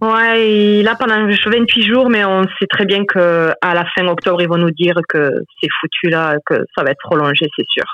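A woman talks in a plain, everyday voice at a medium pitch and a fairly slow pace. Her pitch varies in an ordinary way, and her loudness stays very even. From France. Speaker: regular listener. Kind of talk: casual phone chat.

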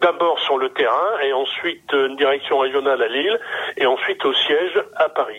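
Noticeable background noise sits behind this recording. A man speaks at a moderate pace. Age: 80s. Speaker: retired logistics manager. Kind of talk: casual interview.

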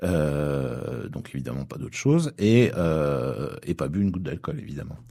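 A man's dark, mellow tone with very wide pitch swings at a moderate pace. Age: 50s. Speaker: musician. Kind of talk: casual chat. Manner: halting.

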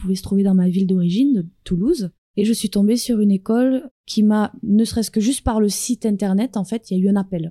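Somewhat breathy with a dark, mellow tone, the voice moves at a fairly quick pace with fairly even intonation in a dry, close sound with no echo. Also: woman. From France. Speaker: dancer and choreographer. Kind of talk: interview.

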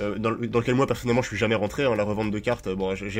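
A man speaks at a very fast pace, his fairly low voice held to a fairly even intonation. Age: 20s. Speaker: professional card game player. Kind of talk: casual chat. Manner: halting, with frequent repeated words.

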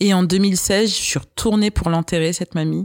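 On a very clean recording with a silent background, a woman uses a normal speaking voice at a moderate pace with fairly even intonation, the sound dry and close with no echo. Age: 30s. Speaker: podcast guest. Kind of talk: interview, personal storytelling.

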